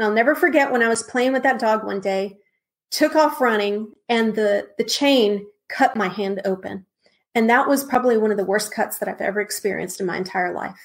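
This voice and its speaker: Speaking at a fairly quick pace, a woman with an American accent uses an ordinary speaking voice, fairly high in pitch with ordinary pitch variation. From Texas, San Antonio. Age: 40s. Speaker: minister. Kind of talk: testimony.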